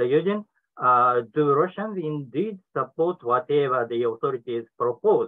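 With a Japanese accent, a man speaks at a fairly slow pace. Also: quiet background. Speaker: professor, discussant; professor. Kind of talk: prepared academic commentary. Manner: reading from a prepared text. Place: office. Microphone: webcam.

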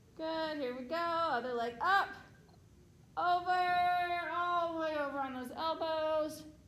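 Speaking at a very slow pace with long, frequent pauses, a woman has an extremely high pitch and ordinary pitch variation. Audible room echo surrounds her voice. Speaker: fitness instructor. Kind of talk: exercise class cues. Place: hall. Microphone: camera far.

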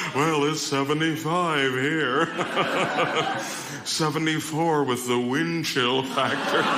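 A man speaks at a very slow pace with long, frequent pauses. Loud background noise fills the recording. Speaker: stand-up comedian. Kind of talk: stand-up comedy routine. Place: stage. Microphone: handheld.

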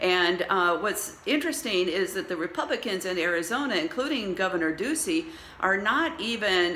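A woman at a moderate pace, with very wide pitch swings and light background noise. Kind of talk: political update vlog. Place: home room. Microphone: phone near.

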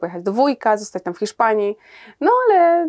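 Against a quiet background, a woman speaks at a very fast pace. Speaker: guest. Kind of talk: interview answer. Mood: reflective, occasionally laughing. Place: studio. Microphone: lapel.

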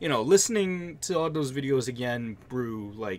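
Lively intonation marks a man speaking at a moderate pace over light background noise. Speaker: vlogger. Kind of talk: casual vlog chat. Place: home room.

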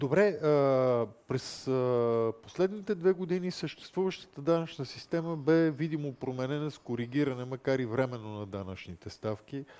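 With an ordinary speaking voice, a man talks at a moderate pace in a fairly high pitch and lively intonation. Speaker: moderator. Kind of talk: interview. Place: hall. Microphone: headset.

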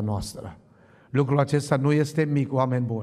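Against a quiet background, a man with a dark, mellow tone speaks with fairly even intonation. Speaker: preacher. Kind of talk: sermon. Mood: fervent, thankful. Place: church. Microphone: podium.

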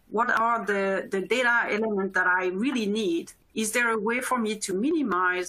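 Speaking at a moderate pace, a woman has a bright, sharp tone, a fairly high pitch and lively intonation. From Europe. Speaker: corporate privacy officer. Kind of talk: webinar panel discussion. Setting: live webinar stream. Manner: halting.

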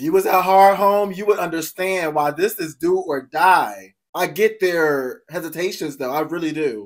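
Against a quiet background, a man with a high pitch talks at a moderate pace with ordinary pitch variation and hardly any pauses. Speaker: reaction video host. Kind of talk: casual reaction commentary. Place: home room.

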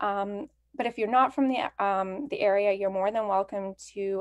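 A woman with a Canadian accent, ordinary pitch variation, and a moderate pace, in a dry sound with no echo and a quiet background. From Canada. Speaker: library event host. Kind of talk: event introduction. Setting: livestreamed virtual event. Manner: enthusiastic. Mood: friendly, welcoming. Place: home room. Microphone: webcam.

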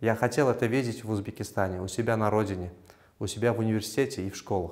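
There is little background sound here. A man talks with ordinary pitch variation. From Uzbekistan, Samarkand; Uzbekistan. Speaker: physicist and university assistant lecturer; university assistant lecturer. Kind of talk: interview. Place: office. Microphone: lapel.

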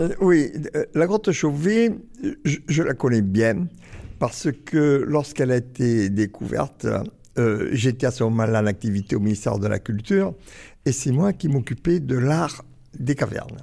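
The voice has a dark, mellow tone and lively intonation, at very even loudness. It moves at a fairly slow pace with long, frequent pauses, on a very clean recording with a silent background. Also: man, medium pitch for a man. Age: 80s+. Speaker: archaeologist. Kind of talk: interview. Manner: halting.

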